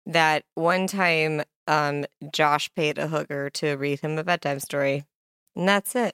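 In a Midwestern US accent, a woman with a very deep, low pitch speaks at a fairly slow pace in an animated tone, captured with a dry, close sound and no echo. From Kearney, Nebraska. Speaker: podcast host. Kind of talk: casual interview chat. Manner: animated, laughs often.

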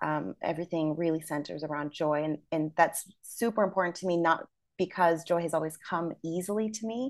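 Speaking at a fairly quick pace with a Midwestern American accent, a woman uses a fairly low pitch and ordinary pitch variation against a quiet background. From US Midwest, small town. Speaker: educator. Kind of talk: interview.

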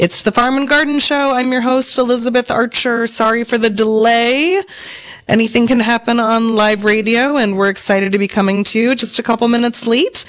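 The speech comes at a fairly quick pace, with very even loudness and ordinary pitch variation. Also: woman, fairly high pitch for a woman. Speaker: radio host. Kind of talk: casual radio interview. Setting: live radio studio. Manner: bouncy, upbeat.

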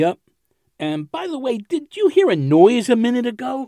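A man puts on a character voice pitched extremely high, with big pitch swings and a dark, mellow tone. His pace is moderate.

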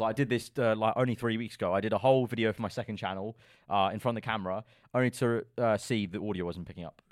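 Very fast speech in a London accent, on a very clean recording with a silent background. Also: man. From London, England. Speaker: F1 content creator. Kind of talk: casual podcast interview. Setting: studio.

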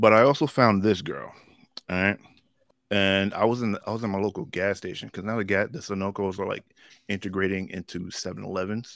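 A man with an ordinary speaking voice talks at a fairly quick pace and fairly low pitch. His intonation stays fairly even on a very clean recording with a silent background. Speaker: comic book fan podcast co-host. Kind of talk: casual banter about comics and movies. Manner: joking, playful.

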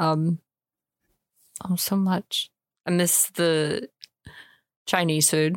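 In an American accent, a woman with a fairly low pitch talks very slowly in a monotone, flat delivery, with long, frequent pauses and a dry, close sound with no echo. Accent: American, mistaken for Irish in UK. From US Midwest, Illinois. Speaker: co-host. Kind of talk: casual chat.

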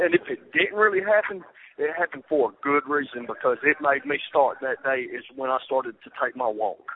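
Fairly quick speech from a man, in a Southern US accent. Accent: Southern US (Georgia). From US South, Georgia (Rome). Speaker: former inmate sharing his conversion. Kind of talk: testimony.

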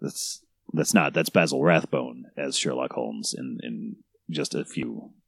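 A man in an American accent speaks at a fairly slow pace with a very deep, low pitch, vocal fry and fairly even intonation. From New York City. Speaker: cake sculptor on a reality TV show. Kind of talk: casual chat.

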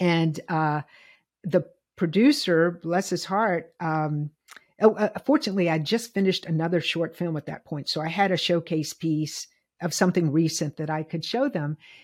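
A woman's normal speaking voice, fairly low in pitch, with an American accent, ordinary pitch variation, a moderate pace, and a very clean recording over a silent background. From US South, Lynchburg, Virginia. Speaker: film director. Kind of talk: interview.

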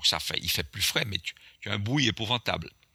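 A man's bright, sharp voice with vocal fry and very wide pitch swings, dry and close with no echo. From Martinique. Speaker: airline pilot and author. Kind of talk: storytelling interview. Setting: remote call.

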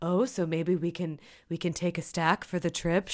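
A woman puts on a gravelly character voice, fairly low in pitch, with a serious tone. She speaks at a moderate pace on a very clean recording with a silent background.

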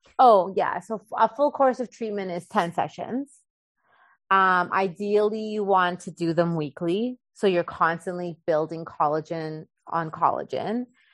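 With an unremarkable speaking voice, a woman with a Canadian accent talks at a fairly slow pace and medium pitch with ordinary pitch variation in a dry, close sound with no echo. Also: quiet background. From Canada, Winnipeg. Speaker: acupuncturist. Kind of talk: interview.

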